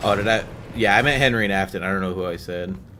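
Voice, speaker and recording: Noticeable background noise and audible room echo around a man's very deep, low voice with ordinary pitch variation. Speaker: gaming streamer. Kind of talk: live gameplay commentary. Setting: live stream. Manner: calm; hesitant, many fillers.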